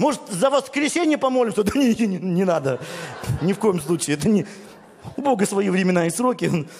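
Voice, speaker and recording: A man speaks at a fairly quick pace in a high pitch with very wide pitch swings and long, frequent pauses. His loudness stays very even over noticeable background noise. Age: 40s. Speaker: pastor. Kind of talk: sermon. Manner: animated.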